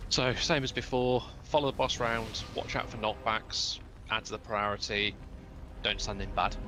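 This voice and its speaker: A man with a British accent keeps to a moderate pace. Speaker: raid leader in online game. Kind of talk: game voice chat briefing.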